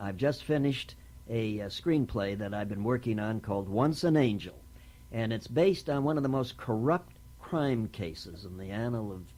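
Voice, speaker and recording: A dark, mellow tone with lively intonation at a moderate pace. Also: man. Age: 70s. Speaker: actor, writer and producer. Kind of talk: oral history interview. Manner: halting, with many fillers.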